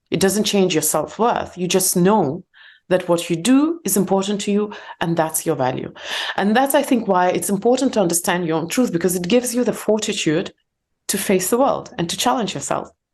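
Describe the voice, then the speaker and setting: Fairly quick speech from a woman with a non-native accent, medium pitch and lively intonation, over a quiet background. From Soviet Union. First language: not English, English is third language. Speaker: entrepreneur and meditation teacher. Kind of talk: podcast interview. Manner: halting.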